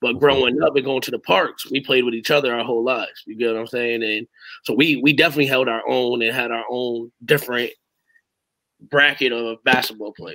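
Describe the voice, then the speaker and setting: A man with an American accent delivers his words in a monotone, flat intonation and a bright, sharp tone at a fairly quick pace, the sound dry with no echo and the background quiet. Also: medium pitch for a man. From Hamden, Connecticut. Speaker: youth basketball coach. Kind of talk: casual interview. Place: home room.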